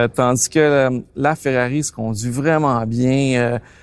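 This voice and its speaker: A man with a Quebec accent, medium pitch and fairly even intonation, on a very clean recording with a silent background. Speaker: car collector. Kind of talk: interview.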